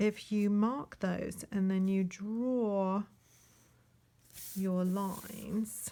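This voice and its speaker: Soft-spoken and at a very slow pace, a woman talks at a medium pitch in a monotone, flat intonation with long, frequent pauses. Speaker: online art teacher. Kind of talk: casual drawing tutorial. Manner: trying to speak softly.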